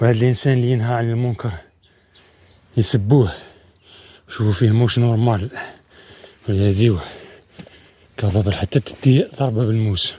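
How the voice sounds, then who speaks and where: A man with a dark, mellow, somewhat breathy tone speaks at a medium pitch with fairly even intonation. His pace is moderate, broken by long, frequent pauses. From Algeria, Setif province. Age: 40s. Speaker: adventure vlogger. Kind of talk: outdoor travel vlog monologue. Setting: outdoors in mountains.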